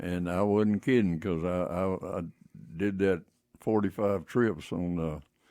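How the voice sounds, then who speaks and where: A man with a West Texas accent speaks at a fairly slow pace in a very deep, low pitch. His tone is dark and mellow, and his intonation stays fairly even. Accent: West Texas drawl. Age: 80s+. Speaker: retired teacher and tire businessman. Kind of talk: radio interview.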